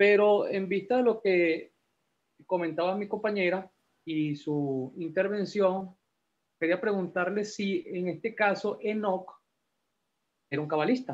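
With a high pitch, ordinary pitch variation, and long, frequent pauses, a man speaks at a fairly slow pace. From Peru, Lima; Peru. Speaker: class participant. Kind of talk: class discussion. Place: home room. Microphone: video call.

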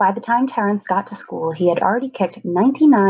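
An unforced reading voice carries the whole clip.

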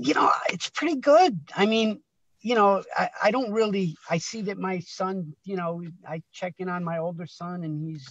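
Over a quiet background, a man in an American accent speaks with a dry sound and no echo. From Connecticut, US. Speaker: guest. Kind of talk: casual chat. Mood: warm, anecdotal storytelling. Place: car. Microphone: video call.

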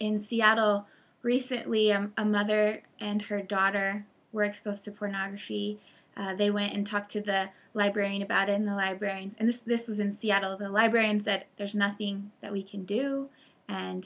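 The woman's intonation stays monotone and flat as she talks at a moderate tempo. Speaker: presenter. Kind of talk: commentary over news articles. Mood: serious, concerned. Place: home room. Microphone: webcam.

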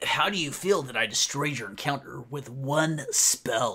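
Fairly high pitch and a moderate pace in a man's put-on character voice. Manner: smug.

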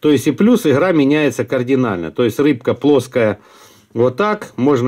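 Over a quiet background, a dark, mellow tone moves at a moderate pace with lively intonation. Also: man. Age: middle-aged. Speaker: fishing video blogger; angler reviewing lures. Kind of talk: product review; casual product review. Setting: at home desk. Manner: casual, halting with fillers. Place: home room. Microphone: phone near.

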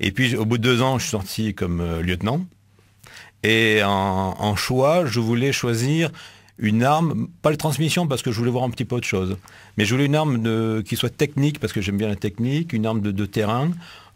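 Intonation is lively as the man talks at a moderate speed. Behind him, the background stays quiet. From Marseille, southern France. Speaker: military delegate, army officer. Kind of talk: casual interview in radio studio. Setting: radio studio. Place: studio. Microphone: studio mic.

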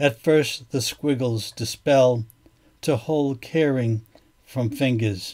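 A man speaks at a very slow pace. His pitch is medium, with ordinary variation. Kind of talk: poem reading. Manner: measured, contemplative, deliberate pacing.

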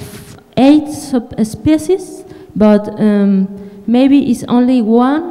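The speaker has a Spanish accent and a very slow pace. The intonation is lively. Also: woman, high pitch for a woman. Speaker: audience member, graduate student. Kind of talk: audience question. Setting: conference hall with audience. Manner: halting. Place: hall.

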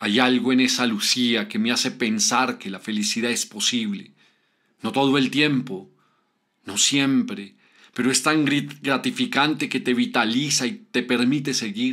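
On a very clean recording with a silent background, a man of medium pitch speaks at a fairly slow pace with lively intonation and a tone that is dramatic and warm yet bright and sharp. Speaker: writer and narrator. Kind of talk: scripted first-person literary narration, reflective and nostalgic. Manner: slow, wistful, dramatic and emotional narration with soft pauses; formal, warm, addressing the audience directly.

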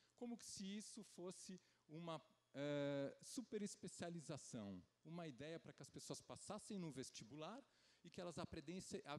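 This man's voice is fairly high and moves at a moderate pace. His pitch swings very widely. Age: 40s. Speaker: geriatrician. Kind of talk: conference talk; lecture. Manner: hesitant, many filler sounds. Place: stage. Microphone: handheld.

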